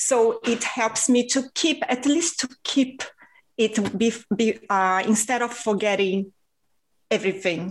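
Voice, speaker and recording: This woman has a Portuguese accent and a fairly high voice. She speaks very slowly with ordinary pitch variation. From Rio de Janeiro, Brazil. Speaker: podcast host and author. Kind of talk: casual interview.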